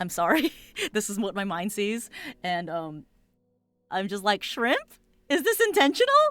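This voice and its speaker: Lively intonation and an animated tone at a moderate pace, broken by long, frequent pauses, with music in the background. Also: woman, medium pitch for a woman. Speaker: art streamer reviewing viewer submissions. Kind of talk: live stream commentary. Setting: live stream.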